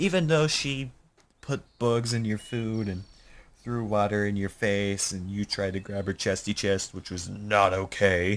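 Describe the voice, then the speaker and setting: A man speaks with a fairly low voice. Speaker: gaming YouTuber. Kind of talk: let's play commentary with reading aloud. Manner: animated. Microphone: studio condenser XLR mic.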